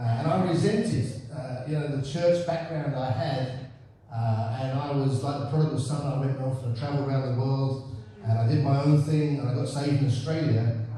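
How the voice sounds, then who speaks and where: A man's fairly high voice at a moderate pace, with fairly even intonation, audible room echo and noticeable background noise. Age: 60s. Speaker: pastor. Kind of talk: sermon. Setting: church.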